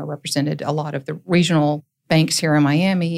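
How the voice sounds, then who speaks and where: Speaking at a moderate pace with fairly even intonation, a woman with a fairly low voice talks in an Appalachian accent. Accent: Southern US, Appalachian. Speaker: lawyer and court-appointed receiver. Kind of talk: casual interview chat.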